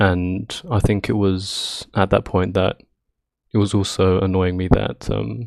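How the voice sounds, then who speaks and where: Very deep, low male voice with a British accent, ordinary pitch variation and a fairly slow pace on a very clean recording with a silent background. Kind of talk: casual rambling talk about gaming. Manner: nervous, hesitant.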